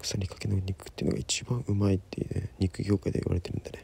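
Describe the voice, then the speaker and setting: A man is whispering. The sound is dry with no echo. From Sapporo, Japan. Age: 20s. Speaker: singer-songwriter. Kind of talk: cooking narration. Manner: whispered. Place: kitchen. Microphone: phone near.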